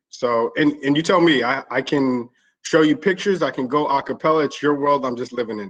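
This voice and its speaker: This man's pitch is fairly high with ordinary variation. He speaks at a fairly quick pace with big swings in loudness. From West Texas (El Paso), military family that moved around. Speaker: company founder and CEO. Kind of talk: webinar presentation. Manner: fast.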